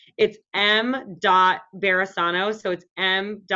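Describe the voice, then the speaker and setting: Speaking with ordinary pitch variation at a medium pitch, a woman uses a normal speaking voice. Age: 30s. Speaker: podcast guest. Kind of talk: casual chat.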